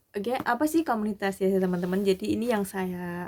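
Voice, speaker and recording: Here a woman speaks at a medium pitch with a dark, mellow tone. Her pitch variation is ordinary. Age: 40s. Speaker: vlogger, community member. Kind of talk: casual vlog sharing. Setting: at night.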